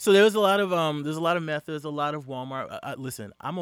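A man talks at a very fast pace. His voice is fairly high, with lively intonation. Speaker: podcast guest. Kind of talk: casual chat. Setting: studio.

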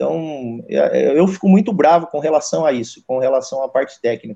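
Fairly high in pitch, this man's voice has a dark, mellow tone. He moves at a moderate pace with ordinary pitch variation. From interior of São Paulo state, Brazil. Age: 40s. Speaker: goalkeeper coach. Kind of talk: casual interview.

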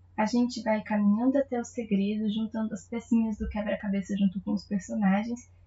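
Over noticeable background noise, a woman with a fairly high pitch talks at a fairly quick pace with hardly any pauses in a monotone, flat intonation. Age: 20s. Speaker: literary podcast host. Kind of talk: book review monologue.

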